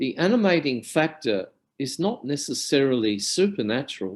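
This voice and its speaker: This man talks at a fairly slow pace with an Australian accent. His intonation is lively, over a quiet background. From Australia (Alice Springs, central Australia). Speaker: academic lecturer on depth psychology. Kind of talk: lecture. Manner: formal.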